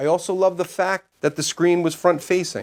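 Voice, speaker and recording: The speaker has a New York accent and keeps a moderate pace. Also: man. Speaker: homesteading YouTuber and product reviewer. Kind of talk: product review.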